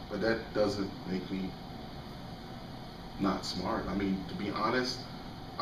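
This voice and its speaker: The man's voice is fairly low in pitch. Both room echo and background noise are noticeable. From Jamaica. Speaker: interviewee. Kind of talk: interview. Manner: halting.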